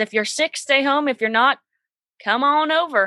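A bright, sharp voice with an American accent and ordinary pitch variation, dry and close with no echo over a quiet background. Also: woman. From Southeast Kansas. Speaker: cosmetologist and social media creator. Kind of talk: interview podcast.

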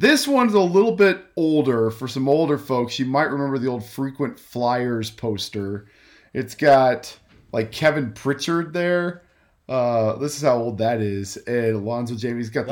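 In an ordinary speaking voice at medium pitch, a man talks at a fairly slow pace with lively intonation on a very clean recording with a silent background. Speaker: podcast host, guest on another show. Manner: relaxed, conversational.

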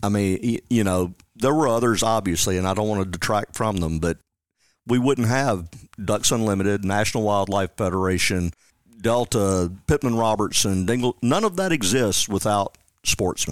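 The speaker talks at a moderate pace with a Tennessee accent and ordinary pitch variation. The recording is very clean and silent behind, dry and close with no echo, and very even in loudness. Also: man, fairly low pitch for a man. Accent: US Southern (Tennessee). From West Tennessee (Jackson). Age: 50s. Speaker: conservation outreach coordinator. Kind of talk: casual interview.

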